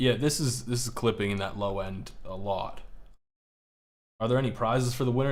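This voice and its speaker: There is audible room echo as a man talks in an animated tone at a moderate pace and medium pitch. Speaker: music producer streamer reviewing beats. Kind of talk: live stream beat review. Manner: stutters at times; casual, animated.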